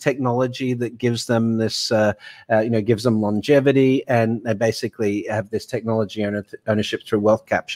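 Someone with an Australian accent speaks at a fairly quick pace on a very clean recording with a silent background. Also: man. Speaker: fintech author and banking futurist. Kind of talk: interview.

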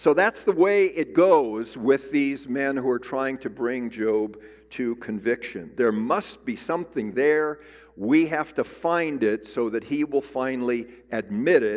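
A man's medium-pitched voice with lively intonation at a fairly slow pace. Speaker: Bible teacher. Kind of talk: lecture. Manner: loud.

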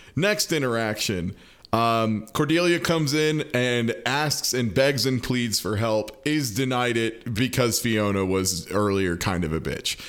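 Speaking at a very slow pace, a man uses medium pitch and lively intonation. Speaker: podcast host. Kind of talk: casual chat, podcast discussion.

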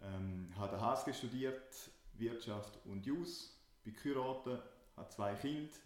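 A man at a medium pitch with ordinary pitch variation and a fairly slow pace, amid audible room echo and noticeable background noise. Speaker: startup consultant and podcast co-host. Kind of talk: casual podcast chat.

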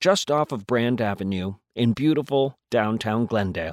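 The very clean recording with a silent background carries a man's voice, a plain, everyday voice at a medium pitch with lively intonation. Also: dry, close sound with no echo. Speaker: theater company host. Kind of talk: scripted narration.

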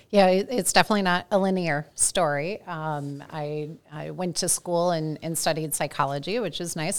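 With a US Midwestern accent, a woman speaks in a very deep, low voice and ordinary pitch variation. The recording is very clean, with a silent background. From US Midwest, St. Louis. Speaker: customer experience research director. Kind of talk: interview.

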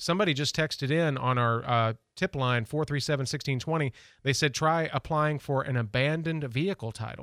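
Here a man uses a normal speaking voice with a fairly high pitch. He moves at a fairly quick pace with ordinary pitch variation. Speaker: radio host. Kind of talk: call-in radio show chat. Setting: radio studio.

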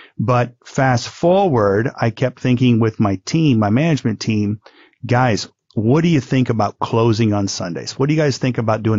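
Set at a moderate pace, an unremarkable speaking voice with an American accent shows ordinary pitch variation. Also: man. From US Midwest. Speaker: businessman, former car dealership owner. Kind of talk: interview.

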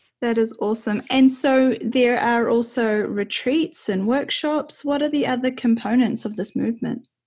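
With a New Zealand accent, a woman speaks in an enthusiastic tone at a high pitch. Her pace is moderate and her pitch varies in an ordinary way. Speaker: podcast host. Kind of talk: interview.

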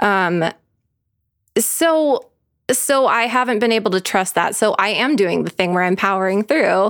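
A woman of medium pitch uses a normal speaking voice at a fairly slow pace, with lively intonation and very even loudness, in a very clean recording with a silent background. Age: 30s. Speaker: podcast co-host. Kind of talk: casual chat. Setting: living room.

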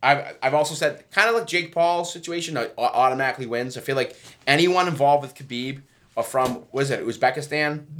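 A man with an American accent has an unremarkable speaking voice at a fairly high pitch. He talks at a fairly quick pace with ordinary pitch variation on a very clean recording with a silent background. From Massachusetts (Braintree area). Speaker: podcast co-host. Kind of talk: casual chat.

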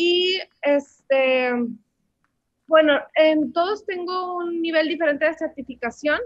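Her pitch is extremely high, with ordinary variation. The woman speaks at a very slow pace. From Mexico. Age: 20s. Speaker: language teacher and polyglot. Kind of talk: interview.

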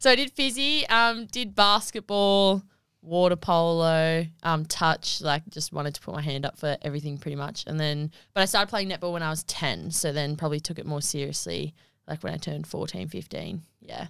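Lively intonation marks this speaker with an Australian accent, on a very clean recording with a silent background. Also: woman, fairly low pitch for a woman, moderate pace. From Australia, Wagga Wagga NSW. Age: 20s. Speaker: netball player. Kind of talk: casual chat. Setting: studio.

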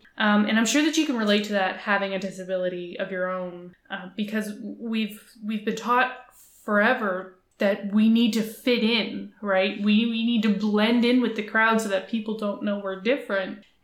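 With a Canadian accent, a woman speaks at a moderate pace in a fairly high pitch with fairly even intonation, with noticeable background noise behind her. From Atlantic Canada. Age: 30s. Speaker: entrepreneur. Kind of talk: casual interview chat.

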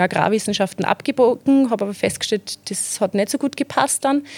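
Recorded dry and close with no echo, a woman speaks at a moderate pace with ordinary pitch variation. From Austria, Mostviertel (Zeillern, Amstetten district). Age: 20s. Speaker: PR manager. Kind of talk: interview.

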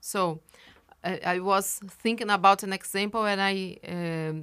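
The speech comes at a very slow pace with a Brazilian Portuguese accent. The tone is bright and sharp, and the intonation fairly even. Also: woman. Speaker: professor and geographer. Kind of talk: interview. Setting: studio. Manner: halting, with frequent fillers.

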